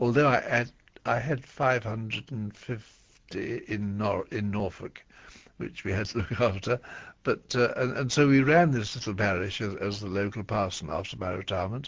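A man speaks at a medium pitch and a moderate pace with ordinary pitch variation. His voice is somewhat breathy, and the background is quiet. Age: 80s+. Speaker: retired bishop. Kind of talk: radio interview answer. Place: studio.

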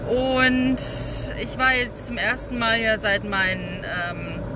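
Noticeable background noise surrounds a woman whose voice sounds dry, with no echo. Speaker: vlogger. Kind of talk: casual vlog chat. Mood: relaxed, chatty. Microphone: phone near.

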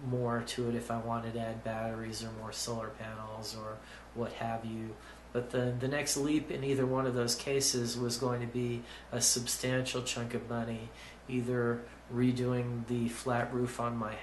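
A man's flat, monotone voice comes with audible room echo and light background noise. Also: moderate pace. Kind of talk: explanatory vlog talk. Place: office. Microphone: phone near.

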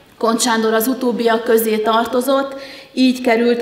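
A woman speaks at a fairly slow pace in a monotone, flat intonation. Audible room echo surrounds her voice. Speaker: conference presenter. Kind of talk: lecture. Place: hall. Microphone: podium.

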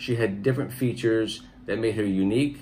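Light background noise sits under a man's voice. He speaks at a fairly quick pace with a medium pitch and ordinary pitch variation. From United States. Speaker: channel host's husband giving pageant reactions. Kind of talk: casual commentary review. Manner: halting, many fillers. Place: home room. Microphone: phone near.

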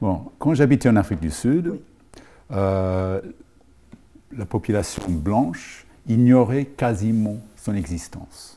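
With a dark, mellow tone and lively intonation, the voice moves at a very slow pace, broken by long, frequent pauses. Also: man, fairly low pitch for a man. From Rhodesia and South Africa. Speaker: film school teacher. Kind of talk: interview. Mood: calm, reflective. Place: stage.

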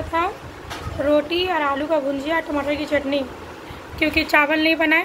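Noticeable background noise sits behind a woman talking at a fairly slow pace. Her high pitch holds a monotone, flat intonation. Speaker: home vlogger. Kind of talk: casual vlog chat. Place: home room. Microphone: phone near.

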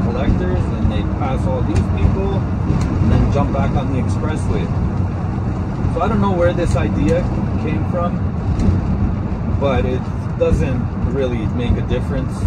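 Loud background noise surrounds a man who talks at a moderate pace with long, frequent pauses. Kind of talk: casual vlog chat. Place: car. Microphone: phone near.

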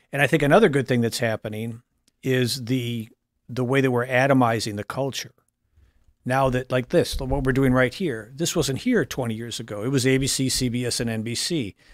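A man with a plain, everyday voice talks at a moderate pace, his medium pitch carried on fairly even intonation. The sound is dry with no echo, over a quiet background. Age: 50s. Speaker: political columnist; podcast guest. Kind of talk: casual panel talk show. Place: studio. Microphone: studio mic.

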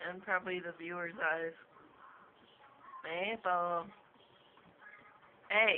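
Mumbling at a very slow pace, a woman speaks with a fairly low pitch and fairly even intonation. Light background noise is present. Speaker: cat owner. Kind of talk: casual talk to a pet on camera. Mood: teasing, mock annoyed. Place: home room. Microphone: phone near.

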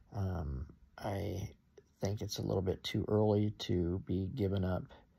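A man's fairly low voice with vocal fry and ordinary pitch variation. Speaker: stock market vlogger. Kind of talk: casual video update. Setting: at home at night. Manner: hesitant, many fillers. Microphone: phone near.

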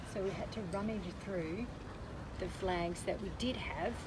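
A woman is speaking. Loud background noise is present. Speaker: sailing vlogger. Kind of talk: casual vlog chat. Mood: cheerful, amused. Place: boat. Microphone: phone near.

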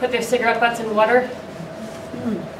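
A woman speaks over noticeable background noise. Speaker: arborist. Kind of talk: panel discussion. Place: hall. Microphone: handheld.

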